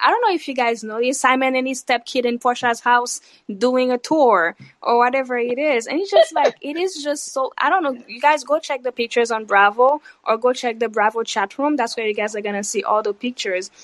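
Speaking fairly quickly, a woman with a high voice shows ordinary pitch variation. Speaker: caller. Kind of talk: casual chat. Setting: online live audio room.

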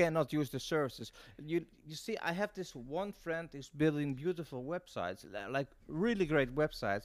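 With a Dutch accent, a man speaks at a fairly high pitch and a moderate pace, his intonation lively. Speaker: marketing and PR consultant, podcast co-host. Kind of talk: casual interview chat. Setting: video call. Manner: halting, many repetitions.

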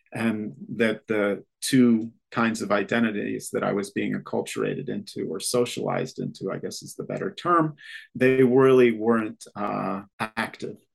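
With an upstate New York accent, a man speaks at a moderate pace and his loudness swings widely. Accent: American, upstate New York. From US Northeast (Rochester, New York). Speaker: literature professor. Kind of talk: interview. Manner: hesitant with frequent fillers.

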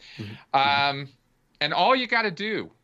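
A man's fairly high voice with vocal fry, very wide pitch swings, and an American accent. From Southern California (Pasadena). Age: 50s. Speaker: ex-cult member and cult researcher. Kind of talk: casual interview conversation.

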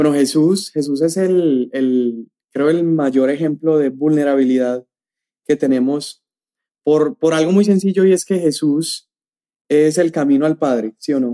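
A man talks fairly slowly at a fairly high pitch, with a dark, mellow tone and ordinary pitch variation. His loudness stays very even, and the sound is dry and close with no echo. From Colombia, Medellín. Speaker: youth pastor, podcast co-host. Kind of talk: casual chat; sermon-like teaching.

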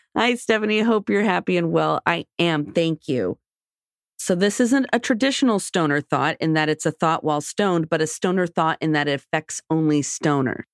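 A woman with a plain, everyday voice speaks at a moderate pace, fairly low in pitch, with lively intonation and very even loudness. The recording is very clean and dry, close with no echo and a silent background. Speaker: podcast co-host. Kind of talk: casual chat.

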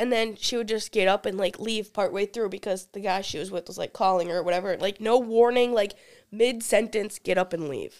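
Talking at a fairly quick pace, a woman uses an ordinary speaking voice at a medium pitch with fairly even intonation. Her loudness swings widely. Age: 20s. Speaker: college student. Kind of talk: casual chat. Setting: studio.

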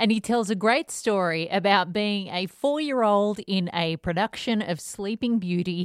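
In a plain, everyday voice, a woman with a medium pitch and ordinary pitch variation speaks at a fairly slow pace in a dry, close sound with no echo, on a very clean recording with a silent background. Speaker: podcast host. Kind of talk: podcast outro.

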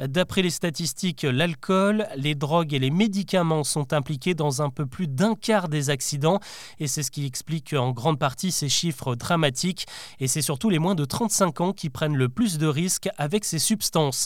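Speaking at a fairly slow pace, a man with an unremarkable speaking voice uses a fairly high pitch and ordinary pitch variation. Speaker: podcast host. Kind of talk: news bulletin, daily news recap read to the listener. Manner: brisk, clear and formal, with a lightly engaging tone.

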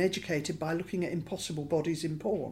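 A somewhat breathy woman with a British accent keeps her intonation fairly even. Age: 60s. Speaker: LGBT rights campaigner. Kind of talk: interview.

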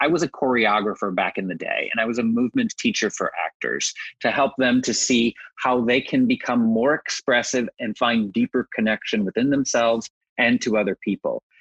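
Here a man with an American accent talks in a normal speaking voice at a medium pitch. His intonation is lively and his pace fairly quick, with a dry, close sound and no echo. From Texas. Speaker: grief yoga teacher. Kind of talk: interview.

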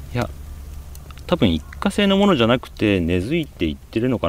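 There is vocal fry in this man's voice. He keeps a moderate pace while his pitch swings very widely. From Japan, Aichi (Nagoya suburbs). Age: 50s. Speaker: magazine editor-in-chief. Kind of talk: interview.

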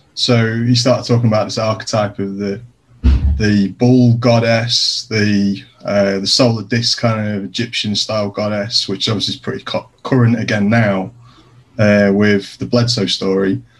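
A man with a British accent, a fairly low pitch and monotone, flat intonation. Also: moderate pace. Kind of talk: casual chat.

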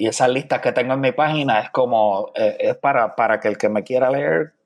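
A man with a Puerto Rican accent speaks at a fairly quick pace. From Puerto Rico, San Juan. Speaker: poet. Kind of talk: interview conversation. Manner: hesitant, many fillers.

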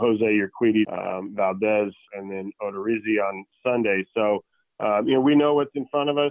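A man uses a plain, everyday voice at a medium pitch. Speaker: baseball manager. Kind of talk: interview answers.

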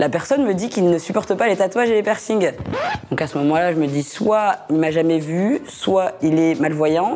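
Noticeable background noise sits behind a woman's voice. She speaks with lively intonation at a fairly low pitch. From northern France (Lille). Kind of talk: personal anecdote storytelling. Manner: casual, conversational.

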